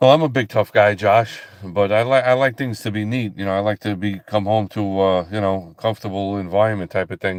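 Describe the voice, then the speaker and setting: The speech runs at a fairly quick pace with hardly any pauses and fairly even intonation. The sound is dry and close with no echo, against a quiet background. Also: man, fairly low pitch for a man. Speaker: livestreaming ministry host. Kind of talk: casual live stream chat with viewers. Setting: live broadcast. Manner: halting, many fillers and repeats.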